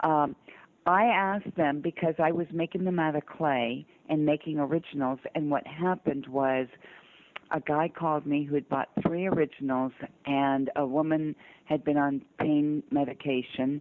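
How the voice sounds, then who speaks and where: With an American accent, a woman speaks at a moderate pace in a very deep, low pitch, her intonation fairly even. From US South (Georgia, North Carolina). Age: 60s. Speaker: sculptor and abduction experiencer. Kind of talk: interview storytelling.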